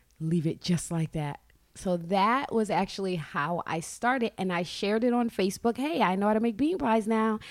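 A woman with a plain, everyday voice speaks at a medium pitch and a moderate pace, her intonation lively. The recording is very clean, with a silent background. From Brooklyn, New York. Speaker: baker and fitness entrepreneur. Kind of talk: radio interview.

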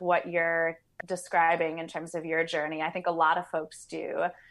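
Over a quiet background, a woman with a plain, everyday voice speaks at a moderate pace with a fairly low pitch. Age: 30s. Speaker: body work practitioner. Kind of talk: casual chat.

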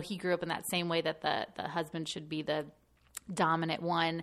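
A woman talks at a fairly quick pace in a fairly low voice. It is an ordinary speaking voice against a quiet background. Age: 30s. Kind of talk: casual interview.

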